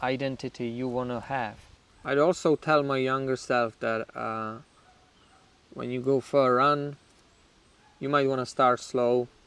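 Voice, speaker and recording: In a Czech accent, a man speaks at a medium pitch and fairly slow pace, his intonation monotone and flat. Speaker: YouTuber in addiction recovery. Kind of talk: personal storytelling. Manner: casual, with fillers.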